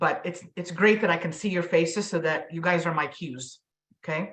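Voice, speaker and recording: The pace is moderate. Pitch variation is ordinary. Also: woman. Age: 50s. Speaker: mental health professional and workshop presenter. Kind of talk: interactive online presentation. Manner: frequent filler ums.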